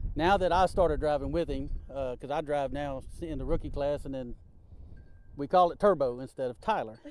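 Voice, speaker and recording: With an ordinary speaking voice, a man talks at a fairly quick pace and fairly high pitch, showing ordinary pitch variation and big swings in loudness. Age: 50s. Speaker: rookie race car driver. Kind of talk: live TV interview.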